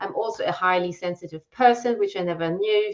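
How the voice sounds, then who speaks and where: A woman talks at a fairly quick pace with a German accent. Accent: German accent, self-described as weird. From Germany. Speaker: copywriter and brand messaging strategist. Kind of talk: live-stream conversation. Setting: live video stream.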